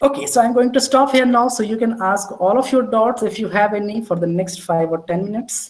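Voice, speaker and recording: Hardly any pauses break up the speech. It moves fairly quickly. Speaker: instructor at a faculty workshop. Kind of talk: hands-on tutorial. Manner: hesitant, many fillers.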